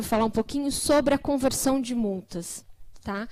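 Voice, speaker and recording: This woman has a high-pitched voice. She talks at a moderate pace. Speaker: government program coordinator. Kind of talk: conference presentation.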